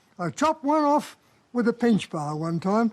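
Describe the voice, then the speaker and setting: A man with an Australian accent at a moderate pace, his pitch swinging very widely. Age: 80s+. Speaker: sawmiller. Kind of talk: interview. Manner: halting.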